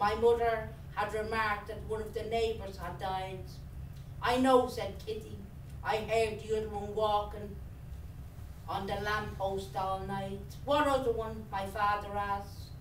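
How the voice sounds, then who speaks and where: Audible room echo and light background noise accompany a woman speaking at a fairly slow pace. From Dublin, Ireland. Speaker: writer. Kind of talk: reading aloud. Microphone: camera far.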